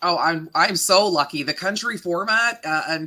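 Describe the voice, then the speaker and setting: This woman's fairly low voice has a bright, sharp tone and ordinary pitch variation. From Canada, Windsor, Ontario. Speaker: radio morning show host. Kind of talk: casual interview chat. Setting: live stream.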